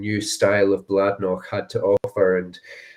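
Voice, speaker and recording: Speaking in a Dundee accent, a man uses a fairly low pitch and a monotone, flat intonation at a fairly slow pace. The recording is very clean, with a silent background. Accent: Scottish (Dundee). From Scotland, Dundee area. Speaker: whisky brand ambassador. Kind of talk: casual chat. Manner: hesitant, many fillers.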